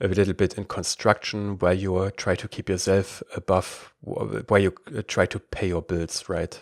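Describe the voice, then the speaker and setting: A man with a very deep, low voice talks with hardly any pauses and fairly even intonation, in a very clean recording with a silent background and a dry, close sound with no echo. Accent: German. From Germany. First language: German. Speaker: podcast host. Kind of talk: interview.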